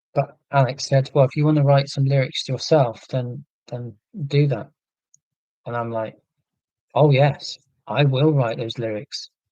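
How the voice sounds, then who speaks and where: A dark, mellow, somewhat breathy voice at a fairly slow pace, with fairly even intonation and long, frequent pauses. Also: man, fairly high pitch for a man. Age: 40s. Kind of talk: live stream chat reading viewer comments.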